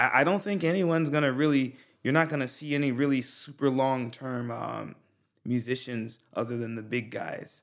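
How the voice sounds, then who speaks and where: An unremarkable speaking voice from a man with an American accent, medium in pitch, at a moderate pace with ordinary pitch variation, in a very clean recording with a silent background. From US South. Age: 30s. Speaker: rapper and musician, former Marine. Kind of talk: casual chat.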